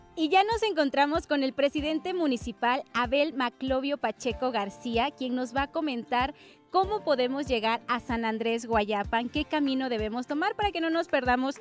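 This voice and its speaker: A woman speaks in a high voice at a moderate pace with hardly any pauses. The sound is dry with no echo, and faint music plays in the background. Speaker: TV program host. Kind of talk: TV presenter intro. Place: street. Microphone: handheld.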